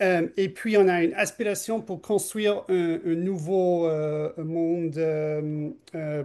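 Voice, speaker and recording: With a non-native accent, a man speaks at a very slow pace in a high pitch, his tone dark and mellow and his intonation fairly even. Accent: non-native French, imperfect. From Canada. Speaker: political scientist. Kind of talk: interview. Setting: podcast interview. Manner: halting, many hesitations.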